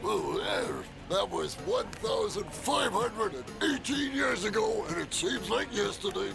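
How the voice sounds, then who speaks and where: Over loud background music, a man performs a cartoonish character voice. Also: moderate pace. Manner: hesitant, hemming.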